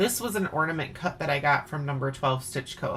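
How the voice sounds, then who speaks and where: A woman with a Wisconsin accent talks at a fairly quick pace. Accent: Wisconsin, sounds pretty Canadian. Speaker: craft video host. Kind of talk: casual chat. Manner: animated.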